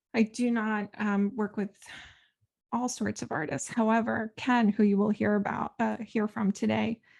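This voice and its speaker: A woman speaks in a somewhat breathy, fairly high voice with fairly even intonation over a quiet background. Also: moderate pace, dry, close sound with no echo. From Ukraine (Kyiv), moved to US at seven. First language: Russian. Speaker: podcast host and art career coach. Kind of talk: casual podcast monologue. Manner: conversational with many fillers.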